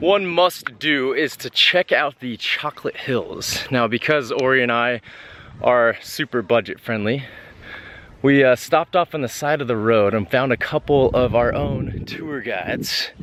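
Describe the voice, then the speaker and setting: A man speaks in an ordinary speaking voice at medium pitch, with ordinary pitch variation and a fairly slow pace. The sound is dry and close, with no echo. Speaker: travel vlogger. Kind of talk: travel vlog narration.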